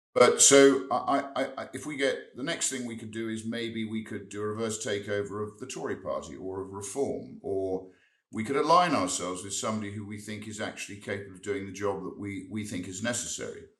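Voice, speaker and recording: In a room with audible echo, a man speaks at a fairly quick pace with hardly any pauses, a fairly low pitch and ordinary pitch variation. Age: 60s. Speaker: member of parliament. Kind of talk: interview. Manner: halting, repeats words.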